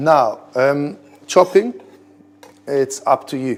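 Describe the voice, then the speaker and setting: A man with an Israeli accent talks at a medium pitch. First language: Hebrew. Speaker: head chef. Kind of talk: cooking tutorial. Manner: casual, conversational.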